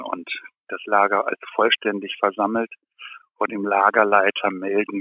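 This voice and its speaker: A man speaks with a fairly low pitch. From East Germany, Kleinmachnow near Berlin. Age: 70s. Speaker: writer and former journalist. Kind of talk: interview.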